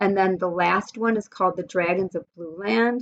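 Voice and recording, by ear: A natural voice reading aloud, its pitch shifting by an ordinary amount.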